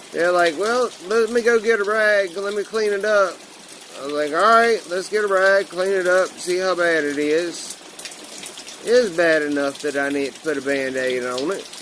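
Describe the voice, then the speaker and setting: A high-pitched male voice with lively intonation at a moderate pace, over noticeable background noise. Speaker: vlogger. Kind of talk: casual personal vlog.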